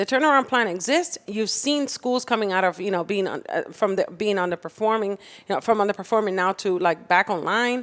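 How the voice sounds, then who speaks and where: On a very clean recording with a silent background, a woman with a Spanish accent speaks at a medium pitch and a fairly quick pace. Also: ordinary pitch variation. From Dominican Republic and Puerto Rico. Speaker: political candidate. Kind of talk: political interview. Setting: podcast studio with live audience.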